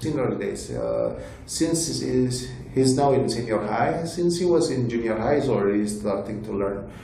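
A speaker with an Indonesian accent talks at a fairly slow pace, with ordinary pitch variation. Noticeable background noise runs under the voice. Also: man. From Indonesia, Bali. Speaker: tech company executive. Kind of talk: interview.

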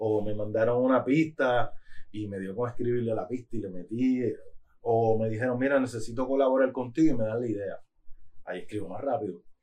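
A man with a medium pitch and a dark, mellow tone talks at a fairly quick pace with fairly even intonation. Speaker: rapper. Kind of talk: casual chat. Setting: studio.

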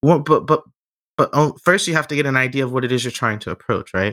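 Recorded very cleanly with a silent background and a dry, close sound with no echo, a man speaks at medium pitch in a bright, sharp tone with ordinary pitch variation. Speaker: podcast co-host. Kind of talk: casual interview conversation.

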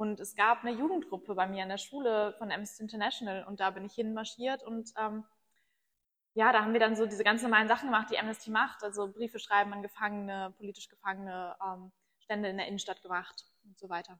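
Talking at a very fast pace, a woman with a fairly high pitch and a bright, sharp tone keeps her intonation fairly even amid big swings in loudness. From northern Germany, Bremen. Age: 20s. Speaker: climate activist spokesperson. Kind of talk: interview. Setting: studio.

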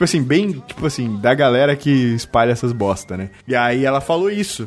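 Noticeable noise sits in the background. The speech moves at a fairly quick pace. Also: man. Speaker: podcast host. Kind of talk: casual chat.

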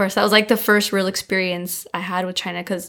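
With a Californian accent, a woman talks at a medium pitch. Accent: Californian American. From San Diego, California. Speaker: community manager. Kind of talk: interview.

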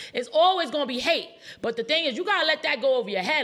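A woman's raised, projected voice races at a very fast pace with very wide pitch swings and an animated tone over noticeable background noise. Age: 30s. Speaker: entrepreneur and TV personality. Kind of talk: live interview. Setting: live event with audience.

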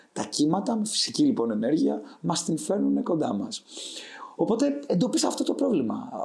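A man with a high pitch talks at a moderate pace, his voice making very wide pitch swings amid audible room echo and noticeable background noise. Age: 20s. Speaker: startup founder. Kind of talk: interview.

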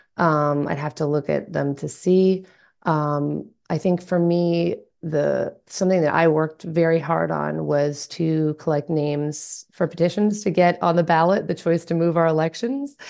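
Against a quiet background, a woman with an ordinary speaking voice talks at a fairly slow pace, her fairly low pitch holding fairly even intonation. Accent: American. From US South, Atlanta, Georgia. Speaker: local party committee chair. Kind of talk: interview conversation.

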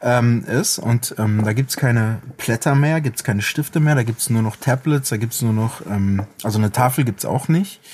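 Somewhat breathy, a man of medium pitch speaks at a moderate pace with ordinary pitch variation and very even loudness. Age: 40s. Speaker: rapper and music producer. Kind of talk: casual chat.

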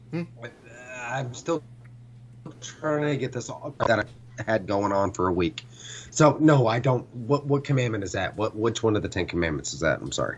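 Speaking at a moderate pace with long, frequent pauses, a man uses lively intonation and shows vocal fry. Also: medium pitch for a man. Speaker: podcast co-host, military veteran. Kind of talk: casual chat. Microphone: bad connection, breaking up.

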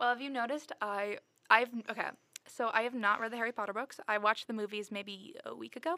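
A woman talks at a very fast pace in an animated tone with ordinary pitch variation. The sound is dry and close, without echo. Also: fairly high pitch for a woman. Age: 18. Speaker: podcast co-host. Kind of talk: casual chat.

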